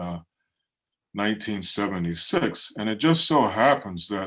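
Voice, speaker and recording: Against a quiet background, a man with an American accent speaks at a moderate pace in an unremarkable speaking voice. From Baltimore, Maryland. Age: 60s. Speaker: poet. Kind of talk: poetry reading. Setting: video call.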